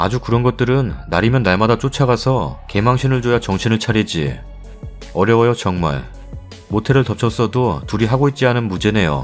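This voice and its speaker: Music plays in the background. The speaker keeps a moderate pace, very even loudness and ordinary pitch variation. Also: man, medium pitch for a man. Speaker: story narrator reading online forum stories. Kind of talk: reading reader comments aloud, indignant.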